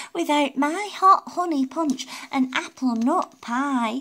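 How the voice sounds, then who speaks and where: A put-on character voice comes through raised and projected at a fairly slow pace. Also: female-sounding voice, high pitch for a woman. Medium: read story. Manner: fussy.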